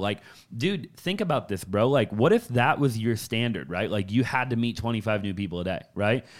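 In a very clean recording with a silent background, a man with an unremarkable speaking voice talks at a fairly quick pace, medium in pitch with ordinary pitch variation. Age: 20s. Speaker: real estate entrepreneur. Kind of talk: casual chat.

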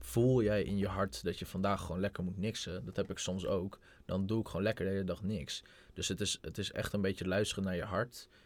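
Here is a man with a normal speaking voice. His pitch is fairly low, with ordinary pitch variation. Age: 20s. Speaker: young entrepreneur. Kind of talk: casual chat.

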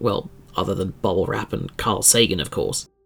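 The man's voice is somewhat breathy. He talks fairly quickly. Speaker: podcast host. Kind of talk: scripted horror-tinged true-crime narration. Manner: dramatic, eerie, measured storytelling; formal, theatrical, ominous tone.

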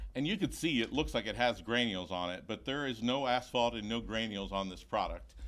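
A man with an American accent speaks at a medium pitch with vocal fry. His pitch varies in an ordinary way, and the recording is very clean with a silent background. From Florida, Tampa. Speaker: roofing sales representative. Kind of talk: casual interview chat. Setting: studio.

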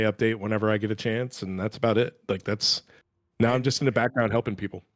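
A man's normal speaking voice, medium in pitch with fairly even intonation, dry and close with no echo, on a very clean recording with a silent background. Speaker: editor and writer. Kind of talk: casual chat. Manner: self-deprecating, chatty.

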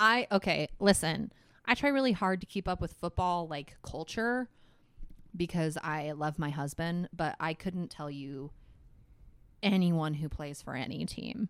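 This woman has an ordinary speaking voice, fairly low in pitch, with lively intonation. She talks at a fairly slow pace on a very clean recording with a silent background. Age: 20s. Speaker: podcast guest. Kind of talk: casual chat.

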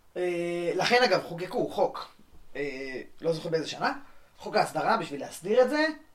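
Against noticeable background noise, a man speaks at a moderate pace and a high pitch, his lively intonation broken by long, frequent pauses. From Israel, West Bank settlement. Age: 20s. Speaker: law student, settler. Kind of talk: podcast interview.

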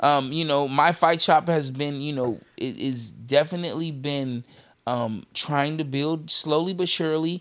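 Using a normal speaking voice, a man talks at a fairly slow pace with a fairly high pitch and ordinary pitch variation. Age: 40s. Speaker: MMA fighter and podcast co-host. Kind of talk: casual chat.

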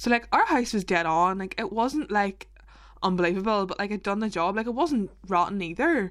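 On a very clean recording with a silent background, a woman speaks in a Northern Irish accent. Her pitch is medium and her pace very fast. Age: 20s. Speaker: podcast co-host. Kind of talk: casual chat. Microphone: mic not as good as co-host's.

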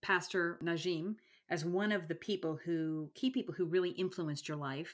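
On a very clean recording with a silent background, a woman in a normal speaking voice talks at a moderate pace, fairly low in pitch with lively intonation. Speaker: podcast host. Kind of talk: interview, faith conversation.

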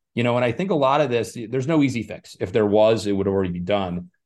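Pitch varying in an ordinary way, a man talks at a very fast pace. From Scottsdale, Arizona (born in Ireland, moved at four). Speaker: congressional candidate. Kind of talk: interview. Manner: repeats words, slight stammer.

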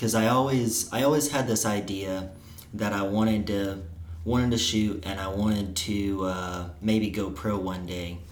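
A man with a Missouri accent has a fairly low pitch. He talks at a moderate pace with ordinary pitch variation. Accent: Midwestern US, Missouri. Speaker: college archer and guest. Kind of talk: casual chat.

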